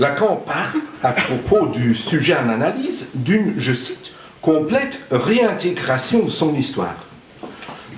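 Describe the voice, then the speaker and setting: Very slowly, a man with a fairly high voice speaks in very wide pitch swings and big swings in loudness, with noticeable background noise and audible room echo. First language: not French (speaking French). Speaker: psychoanalyst speaker at a conference. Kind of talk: conference talk. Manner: halting, with many hesitations.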